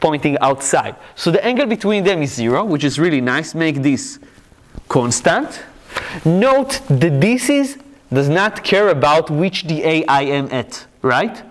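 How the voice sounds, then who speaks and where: A man with an Israeli accent talks at a fairly slow pace in a high pitch, with very wide pitch swings. Noticeable background noise is present. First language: Hebrew. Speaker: physics lecturer. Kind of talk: lecture.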